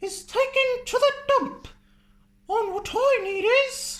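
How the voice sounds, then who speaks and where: An extremely high, squeaky put-on character voice. It moves at a fairly slow pace. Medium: read story. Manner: brisk, self-assured.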